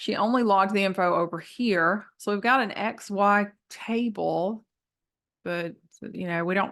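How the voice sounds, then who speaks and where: Over a quiet background, a woman with a Southern US accent speaks at a medium pitch and moderate pace, her tone bright and sharp and her intonation fairly even. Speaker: math teacher. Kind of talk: tutorial. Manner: casual, many fillers.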